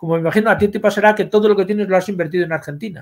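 Against a quiet background, a man with a high voice talks at a very fast pace. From Spain. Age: 60s. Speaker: history professor; history professor guest. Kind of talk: interview; interview answer. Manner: halting. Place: home room.

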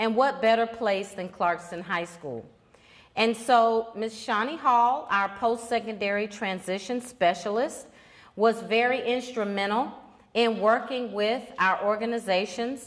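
A woman speaks at a fairly slow pace with fairly even intonation, and the background is quiet. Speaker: high school principal. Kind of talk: welcome address. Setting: stage with audience. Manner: formal. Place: hall. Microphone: handheld.

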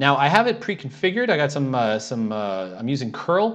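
A man is talking. His pace is fairly quick. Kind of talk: tutorial.

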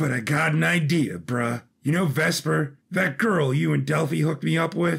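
In a put-on character voice, a man speaks at a moderate pace, raspy and fairly high. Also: hardly any pauses. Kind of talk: casual slang. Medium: audio drama. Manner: laid-back, slangy.

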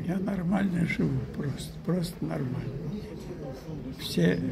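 Loud background noise fills the recording. Through it, a man talks. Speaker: actor. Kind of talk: interview answer. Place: hall. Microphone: phone near.

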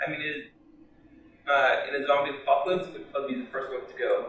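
In a room with strong echo, a man of medium pitch speaks fast with a bright, sharp tone and fairly even intonation.

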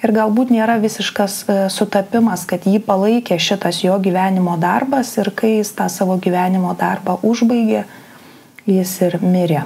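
A woman with a Lithuanian accent at a moderate pace, her loudness very even and her intonation fairly even. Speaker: psychologist-psychotherapist presenter; presenter. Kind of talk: lecture. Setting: online live broadcast. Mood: calm, thoughtful. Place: home room.

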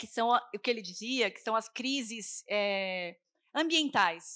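Against a quiet background, a woman speaks with lively intonation, a high pitch and a bright, sharp tone. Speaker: festival curator, cook and debate moderator. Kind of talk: panel debate moderation. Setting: stage with live audience. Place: stage. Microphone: handheld.

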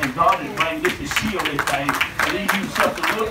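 A man talks very fast over loud background noise. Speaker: preacher. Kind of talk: revival sermon. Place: tent. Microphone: pa.

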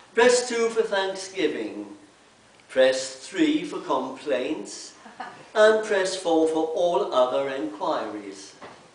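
Very slow speech with very wide pitch swings carries audible room echo. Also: man, high pitch for a man. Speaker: speaker. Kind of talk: reading a humorous piece to a congregation. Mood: light, humorous. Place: church. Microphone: camera far.

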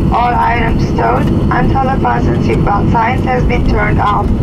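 Through loud background noise, a man speaks at a fairly slow pace. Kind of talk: scripted cabin announcement. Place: plane.

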